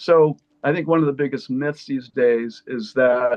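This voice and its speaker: Fairly even intonation and a moderate pace mark a plain, everyday voice. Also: man. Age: 60s. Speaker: naturopathic doctor. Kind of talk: panel discussion.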